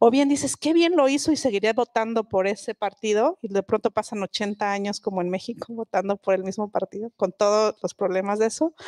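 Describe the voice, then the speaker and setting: With hardly any pauses and a fairly quick pace, a woman speaks in a fairly high pitch with ordinary pitch variation against a quiet background. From southern Mexico, Mixe village in Oaxaca; Oaxaca, Mexico. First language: Mixe (speaking Spanish). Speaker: linguist and writer. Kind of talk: public talk on stage. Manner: frequent hesitations. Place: stage. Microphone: handheld.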